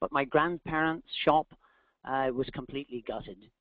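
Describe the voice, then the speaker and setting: Here a man speaks with a Northern Irish accent. His pitch is medium and his pace moderate. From Northern Ireland. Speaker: executive coach, company founder. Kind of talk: webinar talk. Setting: online webinar.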